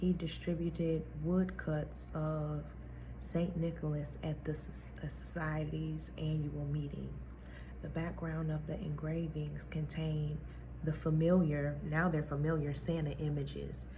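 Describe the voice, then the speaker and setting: Fairly slow speech from a woman, with audible room echo. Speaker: vlogger. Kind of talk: casual monologue.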